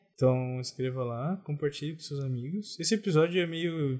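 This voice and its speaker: A man's somewhat breathy speech, pitch varying in an ordinary way. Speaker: podcast co-host. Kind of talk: casual chat. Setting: home recording in bed.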